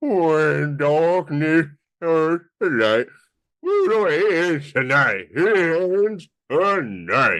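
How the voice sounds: A man uses a put-on character voice pitched high. He talks at a very slow pace against a quiet background.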